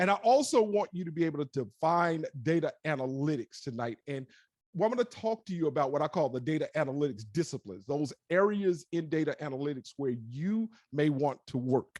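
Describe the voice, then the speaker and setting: A man with an American accent speaks at a fairly quick pace and fairly high pitch, his tone animated and his intonation lively. The sound is dry and close with no echo, and the background is quiet. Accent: Southern US, sometimes stronger. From US South. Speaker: digital analytics specialist, tech talk speaker. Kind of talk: presentation. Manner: fast when excited.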